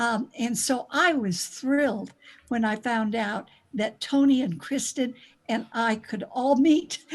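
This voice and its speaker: At a very slow pace, a woman with a high pitch speaks with ordinary pitch variation. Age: 80s+. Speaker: meditation group member. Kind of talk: podcast interview. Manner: halting.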